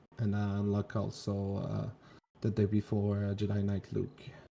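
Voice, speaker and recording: Using a Quebec French accent, a man speaks at a moderate pace in a fairly low voice with a dark, mellow tone. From Quebec, Canada. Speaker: viewer getting account review. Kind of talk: casual chat. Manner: halting, hesitant English.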